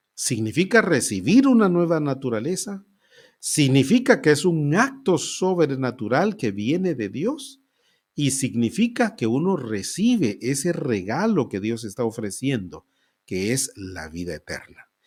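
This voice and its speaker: In a very clean recording with a silent background, a man with a fairly high pitch speaks at a fairly slow pace, his pitch swinging very widely. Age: 60s. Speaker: pastor. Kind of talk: sermon.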